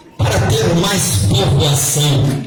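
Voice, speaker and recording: A man with a fairly high voice talks at a very slow pace over noticeable background noise. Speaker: pastor and wedding ceremony officiant. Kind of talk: wedding ceremony sermon.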